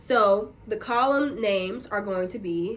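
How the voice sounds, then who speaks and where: Here is a woman with a plain, everyday voice. Her pitch is fairly high and her intonation lively. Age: 20s. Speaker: YouTuber. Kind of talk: tutorial. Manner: casual.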